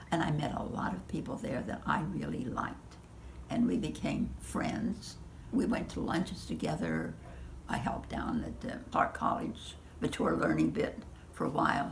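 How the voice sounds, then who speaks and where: A whispering woman, moderate in pace, with noticeable background noise. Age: 80s+. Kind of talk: interview answer.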